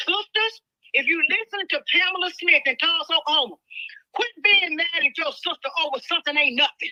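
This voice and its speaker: A woman with an extremely high pitch and very wide pitch swings speaks in a raised, projected voice with an animated tone, and the sound is dry and close with no echo. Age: 70s. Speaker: prison abuse survivor and activist. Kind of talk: testimony. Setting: phone call.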